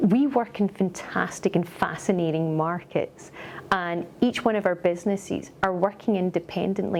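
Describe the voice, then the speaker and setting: Speaking in a Scottish accent at a moderate pace, a woman holds a medium pitch, very even loudness and fairly even intonation, with hardly any pauses and noticeable background noise. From Scotland. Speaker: company executive. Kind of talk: corporate interview.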